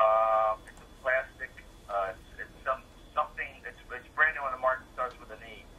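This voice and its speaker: Moderate pace from a man, with big swings in loudness and noticeable background noise. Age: 50s. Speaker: caller. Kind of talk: radio call-in question. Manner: halting, many fillers.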